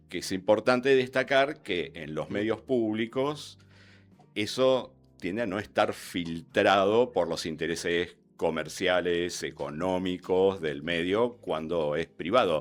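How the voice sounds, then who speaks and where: Music plays in the background as a man with a very deep, low pitch speaks very slowly with lively intonation. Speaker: radio newsreader and announcer. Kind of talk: interview.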